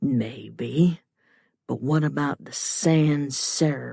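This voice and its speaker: In a put-on character voice with a Southern accent, the speaker pitches low-to-middle. The pace is very slow. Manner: sly, insinuating.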